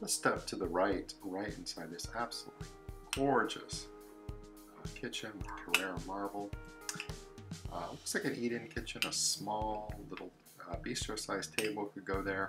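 Loud music plays behind a man speaking at a moderate pace. He leaves long, frequent pauses. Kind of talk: property tour commentary. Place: empty room. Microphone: phone near.

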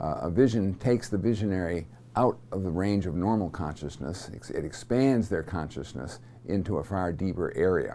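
Over light background noise, a man talks in a very deep, low pitch with a dark, mellow tone. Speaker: seminary teacher. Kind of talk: lecture. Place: studio. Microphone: lapel.

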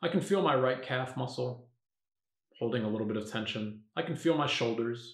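A somewhat breathy man with lively intonation at a moderate pace, audible room echo and a quiet background. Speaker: meditation teacher. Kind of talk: guided meditation. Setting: video, standing up while demonstrating. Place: home room.

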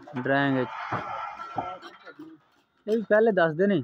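At a slow pace, a man speaks with a fairly high pitch and lively intonation.

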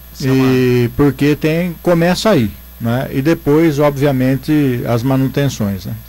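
Speaking at a fairly slow pace, a man with a plain, everyday voice keeps to a medium pitch with ordinary pitch variation. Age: 50s. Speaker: former city councillor and teacher; former city councillor, teacher. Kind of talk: studio commentary. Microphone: studio mic.

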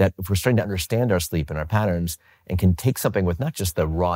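Against a quiet background, a man speaks with a very deep, low pitch and a dark, mellow tone. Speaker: interviewee. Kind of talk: interview answer. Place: home room.

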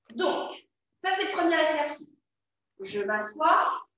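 Amid strong room echo, a woman speaks at a very slow pace with very wide pitch swings. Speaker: fitness instructor. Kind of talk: exercise class instruction. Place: empty room. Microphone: camera far.

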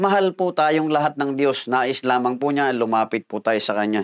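The voice belongs to a man. Little else can be heard behind him. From Philippines. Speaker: pastor. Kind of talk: sermon, devotional Bible teaching with prayer. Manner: earnest, polite, measured preacher's delivery with frequent fillers. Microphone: lapel.

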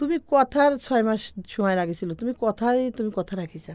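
Her voice is high-pitched for a woman. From Bangladesh, Pabna district. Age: 40s. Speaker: farmer. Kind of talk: life story interview.

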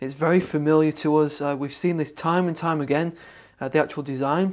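Over a quiet background, a man speaks at a fairly quick pace. His intonation stays fairly even. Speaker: tech reviewer. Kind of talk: product review presentation. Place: studio.

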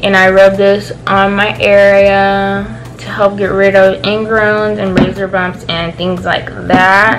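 A woman at medium pitch speaks at a very slow pace with hardly any pauses, with noticeable background noise behind her. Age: young. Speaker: beauty and lifestyle vlogger; beauty vlogger. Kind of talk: casual product review vlog. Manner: animated. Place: home room. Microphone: phone near.

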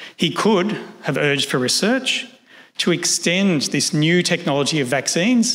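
Fairly quick speech from a man with an Australian accent and lively intonation. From Australia, Sydney. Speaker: historian. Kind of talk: lecture; Q&A answers. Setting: stage with audience. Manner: formal. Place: hall. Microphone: podium.

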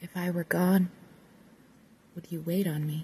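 A woman speaks at a fairly slow pace in a fairly low, somewhat breathy voice with flat, monotone intonation. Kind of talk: ASMR poetry reading.

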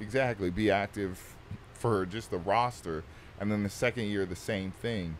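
A man with a plain, everyday voice at a moderate pace, over light background noise. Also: fairly low pitch for a man, ordinary pitch variation. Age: 20s. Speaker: pro football player; podcast guest. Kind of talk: casual chat. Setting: studio on a bus. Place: studio. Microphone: studio mic.

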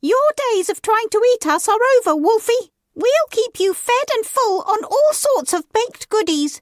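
Putting on a character voice, a woman talks at a moderate pace in an extremely high pitch. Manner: gloating.

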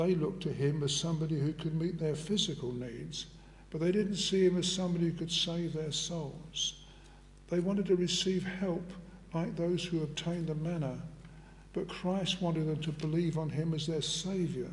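At a moderate pace, a man speaks with high pitch and fairly even intonation. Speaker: preacher. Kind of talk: sermon. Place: church.

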